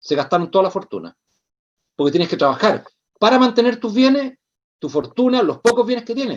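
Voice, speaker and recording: Pausing long and often yet moving at a fairly quick pace, a man with a Chilean accent talks in a high pitch with very wide pitch swings. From Chile, Santiago. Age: 60s. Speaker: social activist. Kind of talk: interview conversation.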